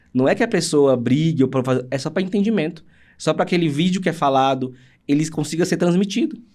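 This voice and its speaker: Talking very fast, this man keeps his pitch varying in a normal way. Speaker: accessibility audiovisual producer. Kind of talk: casual interview chat.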